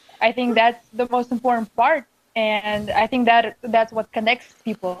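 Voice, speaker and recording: At a moderate pace, a woman with a non-native accent speaks in a fairly high pitch and flat, monotone intonation, the sound dry and close with no echo. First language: not English. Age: 20s. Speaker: student racing driver. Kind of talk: casual chat. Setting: studio.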